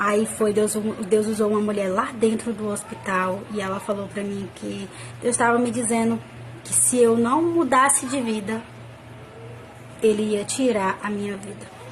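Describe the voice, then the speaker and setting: Speech with a Brazilian accent at a fairly slow pace, with long, frequent pauses, big swings in loudness, ordinary pitch variation and noticeable background noise. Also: woman, fairly high pitch for a woman. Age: 20s. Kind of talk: personal religious testimony to camera. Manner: casual, conversational.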